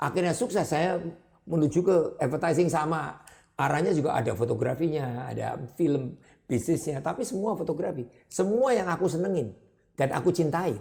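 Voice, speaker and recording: An animated man talks at a moderate pace with vocal fry and a fairly high pitch. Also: lively intonation. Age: 70s. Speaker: advertising business owner. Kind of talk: interview.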